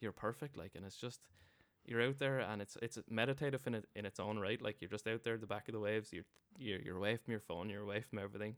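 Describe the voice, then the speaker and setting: A man with an Irish accent speaks very fast in a fairly low voice, his intonation fairly even. The sound is dry and close, with no echo. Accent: Irish, Wexford. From Ireland (Wexford). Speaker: guest living in US. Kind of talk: casual chat. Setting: drinking beer in a pub.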